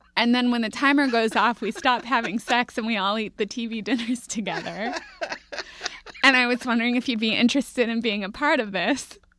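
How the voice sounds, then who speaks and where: Against noticeable background noise, a voice with an American accent moves at a fairly quick pace with fairly even intonation. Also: woman, fairly high pitch for a woman. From Minneapolis, US Midwest. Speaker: podcast producer and co-host. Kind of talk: casual interview chat. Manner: frequent laughter.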